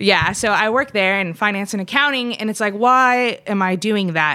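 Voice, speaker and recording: Bright and sharp in tone, a woman talks with an American accent. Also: very clean recording, silent background. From Southern California. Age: 20s. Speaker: fashion entrepreneur. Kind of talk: casual chat. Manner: animated.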